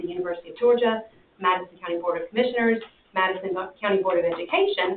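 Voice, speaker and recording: A woman at medium pitch talking at a very fast pace amid noticeable background noise. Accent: American. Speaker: extension agent presenting to county board. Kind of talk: presentation at public meeting. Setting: county commission meeting.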